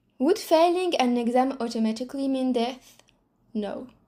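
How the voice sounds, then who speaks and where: A woman speaks with a non-native accent at a fairly slow pace. Her tone is dark and mellow, and her pitch is high. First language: not English. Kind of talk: reflective monologue to camera.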